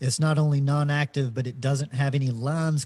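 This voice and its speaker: Medium in pitch, a man speaks in a dark, mellow tone that is somewhat breathy. His intonation stays fairly even. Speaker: podcast co-host. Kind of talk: live Q&A explanation. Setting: video call livestream. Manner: hesitant, many fillers.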